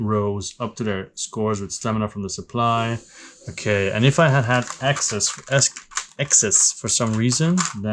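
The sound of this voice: Pitch varies in an ordinary way through an unforced reading voice.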